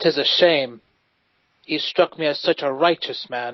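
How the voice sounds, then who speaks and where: A man's put-on character voice, fairly high in pitch, with fairly even intonation at a moderate pace. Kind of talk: old-fashioned heroic speech. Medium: actual play. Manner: earnest, warm, idealistic.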